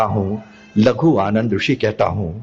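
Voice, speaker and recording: Noticeable background noise sits under a man speaking at medium pitch with fairly even intonation. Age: 80s+. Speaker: physician. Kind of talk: talk at a religious assembly. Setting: religious assembly with audience. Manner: repetitive, emphatic.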